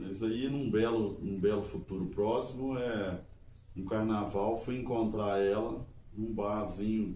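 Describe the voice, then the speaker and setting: Very slow speech with fairly even intonation and audible room echo. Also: man, fairly low pitch for a man. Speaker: couple channel co-host. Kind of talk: casual chat.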